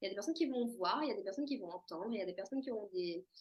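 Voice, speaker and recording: A woman is speaking. Her intonation is lively. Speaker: medium and akashic records reader. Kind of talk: casual monologue to camera. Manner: hesitant, many fillers.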